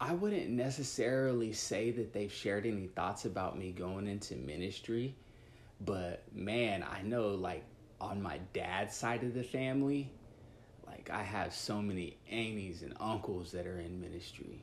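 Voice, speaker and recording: A fairly low-pitched man with an American accent, lively intonation, and audible room echo. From US Midwest, Dodge City, Kansas. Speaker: youth worker. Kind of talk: casual interview chat.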